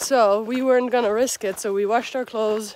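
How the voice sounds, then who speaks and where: Over light background noise, a woman talks at a moderate pace in a dry sound with no echo. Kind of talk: casual vlog chat. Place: open country. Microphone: phone near.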